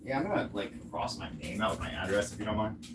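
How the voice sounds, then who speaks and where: Noticeable background noise fills the clip. Through it, a man talks with an American accent. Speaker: online commentator. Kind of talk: casual monologue. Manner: fast; rambling with restarts and fillers.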